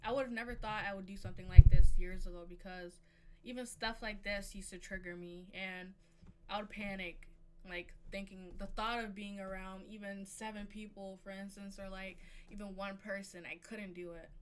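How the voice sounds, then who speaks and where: With audible room echo, a woman at a medium pitch talks at a moderate pace in monotone, flat intonation, her loudness swinging widely. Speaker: streamer. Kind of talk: casual chat.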